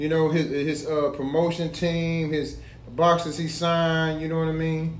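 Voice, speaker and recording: In a room with audible echo, a man with a fairly high pitch speaks fairly slowly and in a flat monotone. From US South. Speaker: podcast co-host. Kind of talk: casual chat.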